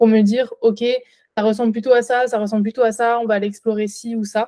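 Her voice has a dark, mellow tone at a fairly high pitch for a woman, delivered in a monotone, flat intonation. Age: 20s. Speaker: nutrition adviser. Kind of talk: interview.

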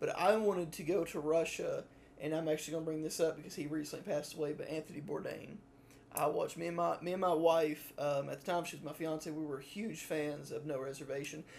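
A man with a fairly high pitch rattles along very fast, his intonation fairly even. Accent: Southern US. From US South. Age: 20s. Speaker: podcast co-host, college student. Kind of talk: casual chat.

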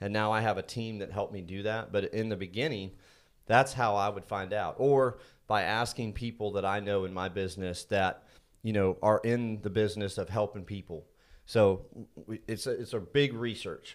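A man's fairly low voice with an American accent, a normal speaking voice, fairly even intonation, and a moderate pace, in a very clean recording with a silent background. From Indiana. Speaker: energy consultant, business owner. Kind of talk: casual interview. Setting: studio.

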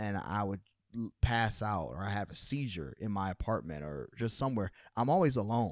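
Using an unremarkable speaking voice, a man with an American accent and a fairly low pitch talks at a moderate pace with lively intonation on a very clean recording with a silent background. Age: 30s. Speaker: podcast co-host. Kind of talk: scripted outro; casual chat.

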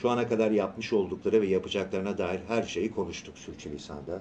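A man with a fairly low pitch talks at a moderate pace. Noticeable background noise can be heard. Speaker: voice actor. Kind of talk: radio interview. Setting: radio studio. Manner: animated.

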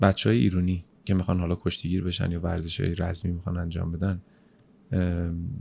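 Speaking at a fairly quick pace, a man has a very deep, low pitch and a dark, mellow tone. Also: ordinary pitch variation. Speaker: podcast host. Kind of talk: casual interview.

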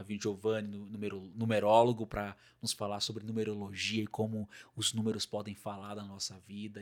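The recording is very clean with a silent background. A man talks at a moderate pace in a fairly low pitch. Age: 20s. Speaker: podcast host. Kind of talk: casual chat. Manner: animated.

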